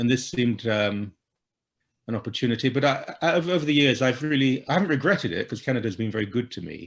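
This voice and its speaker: A man talks at a very fast pace. His pitch is medium and his intonation lively. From England, London-Essex border (Ilford). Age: 60s. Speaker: Anglican priest, author and columnist. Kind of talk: interview. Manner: halting, many repetitions.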